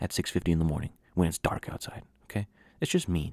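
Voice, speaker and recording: Speaking at a very fast pace in an American accent, a man is captured in a very clean recording with a silent background. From Washington State, Yakima. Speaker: podcast host. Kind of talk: casual solo monologue.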